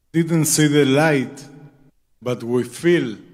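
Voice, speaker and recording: With a non-native accent, a man talks at a very slow pace, his medium pitch held in fairly even intonation. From Israel, kibbutz Nir Oz. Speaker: freed hostage. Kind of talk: public testimony. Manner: halting.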